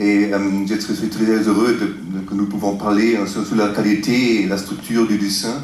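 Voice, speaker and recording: A man speaks with a fairly low pitch, a non-native accent and fairly even intonation. The recording has noticeable background noise and audible room echo. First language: not French (speaking French). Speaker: interviewer. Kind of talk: interview. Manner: halting, many hesitations.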